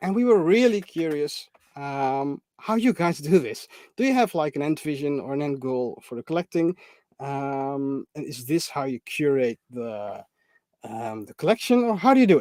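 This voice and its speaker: A moderate pace in a non-native accent, on a very clean recording with a silent background. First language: not English. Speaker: figure collector and co-host. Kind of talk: live stream chat.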